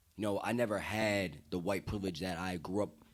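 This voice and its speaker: Speaking with an American accent, a man has a very deep, low pitch and ordinary pitch variation. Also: very clean recording, silent background. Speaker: podcast guest. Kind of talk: heated discussion. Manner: animated.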